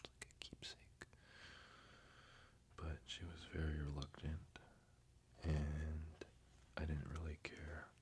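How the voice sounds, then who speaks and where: Someone whispers. The pace is fairly slow. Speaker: ASMR creator. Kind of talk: ASMR soft-spoken show and tell. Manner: soft-spoken.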